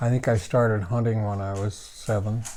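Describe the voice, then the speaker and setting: A man with an American accent speaks at a fairly low pitch with fairly even intonation. His tone is dark and mellow and somewhat breathy. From Washington State. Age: 80s+. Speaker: outdoor writer and show host. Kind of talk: interview.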